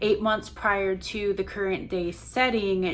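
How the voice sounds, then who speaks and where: A woman speaks at a fairly slow pace. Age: 30s. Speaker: lifestyle and book vlogger. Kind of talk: casual vlog chat; reading from scripted notes. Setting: at home, on the couch. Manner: halting, stumbles over words.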